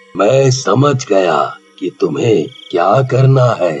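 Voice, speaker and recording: A man performs a cartoonish character voice. He delivers it at a very slow pace. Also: medium pitch for a man. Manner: calm, fatherly.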